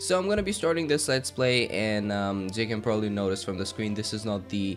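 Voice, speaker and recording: A man's fairly low voice at a fairly quick clip, with ordinary pitch variation and music in the background. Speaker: gaming let's play host. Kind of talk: casual gameplay commentary.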